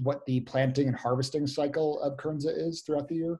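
This man talks at a moderate pace in a monotone, flat delivery. His voice is somewhat breathy, and the background is quiet. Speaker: webinar moderator. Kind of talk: webinar moderation. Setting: video call. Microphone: video call.

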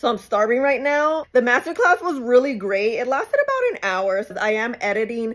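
The setting is quiet. A woman talks at a moderate pace. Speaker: beauty vlogger. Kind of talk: casual vlog chat. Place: home room. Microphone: phone near.

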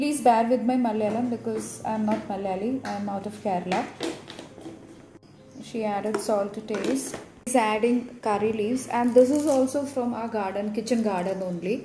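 With audible room echo and light background noise, a woman speaks at a moderate pace in fairly even intonation, leaving long, frequent pauses. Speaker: home cook vlogger. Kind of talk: casual vlog narration. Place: kitchen. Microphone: phone near.

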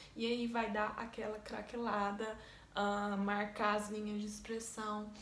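Woman speaking at a fairly slow pace, fairly high pitch, light background noise, audible room echo. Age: 20s. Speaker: makeup artist. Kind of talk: tutorial. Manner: casual. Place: home room. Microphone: phone near.

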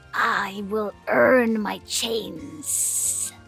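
Clear music plays in the background behind a female-sounding, put-on character voice at a medium pitch. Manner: shouting, defiant.

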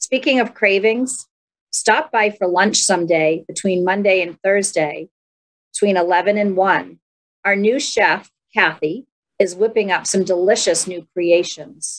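Against a quiet background, a woman speaks at a fairly slow pace. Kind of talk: program announcements. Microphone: webcam.

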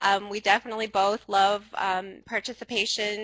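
Bright and sharp in tone, the voice moves at a moderate pace in a dry sound with no echo. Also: woman. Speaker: presenter. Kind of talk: webinar presentation opening.

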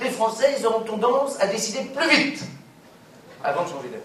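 Extremely high in pitch, a man speaks at a fairly quick pace with lively intonation and big swings in loudness. Light background noise and audible room echo are present. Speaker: comedian. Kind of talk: humorous corporate keynote. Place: hall.

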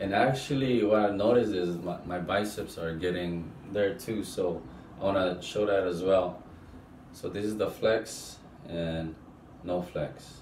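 A man with a very deep, low pitch at a fairly slow pace, ordinary pitch variation, long, frequent pauses, audible room echo and light background noise. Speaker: fitness vlogger. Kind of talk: casual vlog chat. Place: bathroom. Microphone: camera far.

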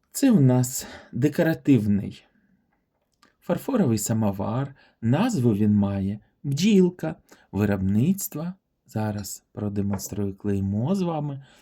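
Very slowly and with long, frequent pauses, a man speaks at a medium pitch in a dark, mellow tone, his pitch swinging very widely. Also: very clean recording, silent background. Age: 40s. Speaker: vintage porcelain YouTuber. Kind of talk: product showcase video. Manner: warm, enthusiastic.

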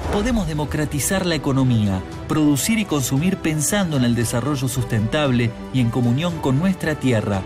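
Over music in the background, a man speaks at a moderate pace with very even loudness. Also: fairly high pitch for a man, lively intonation. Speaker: voice actor. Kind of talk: promotional event narration.

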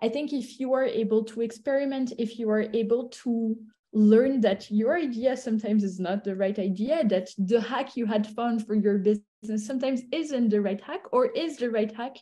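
A woman with a dark, mellow, somewhat breathy tone speaks at a fairly high pitch and moderate pace, with ordinary pitch variation against a quiet background. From Belgium / Italy; Belgium. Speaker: venture capital investor; guest. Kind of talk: interview. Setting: video call. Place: home room. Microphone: video call.

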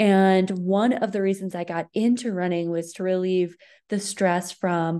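Against a quiet background, a woman talks at a fairly slow pace. Her tone is dark and mellow, and her intonation is fairly even. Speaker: running coach presenting. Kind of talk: webinar presentation. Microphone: webcam.

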